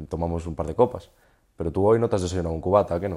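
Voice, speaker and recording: On a very clean recording with a silent background, a man talks very fast in a very deep, low voice. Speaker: podcast host. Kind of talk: interview.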